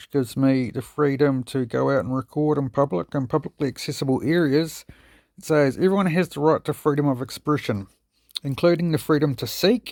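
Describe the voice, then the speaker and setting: A man with a New Zealand accent mumbles at a fairly quick pace in a fairly high pitch with ordinary pitch variation, in a very clean recording with a silent background. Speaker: police auditor / copwatch videographer. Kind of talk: casual explainer reading from law text. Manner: mumbling.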